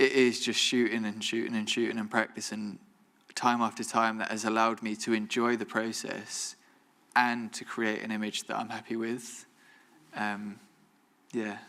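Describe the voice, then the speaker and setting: Flat and monotone, a man with a bright, sharp tone and medium pitch moves at a moderate pace with long, frequent pauses. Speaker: photographer, alumni guest speaker. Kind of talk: Q&A after a talk. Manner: mumbling; careful enunciation, occasional stumbles.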